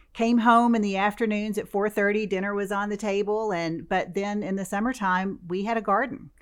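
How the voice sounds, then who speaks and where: In an American accent, a woman talks at a fairly quick pace with hardly any pauses, a medium pitch, fairly even intonation and an unremarkable speaking voice. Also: very clean recording, silent background. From US South, western Kentucky. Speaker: food bank chief executive. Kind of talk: interview.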